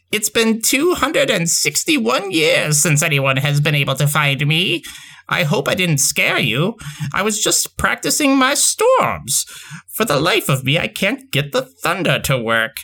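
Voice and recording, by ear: Cackling in a put-on character voice, the speaker moves at a fairly slow pace with a middle pitch.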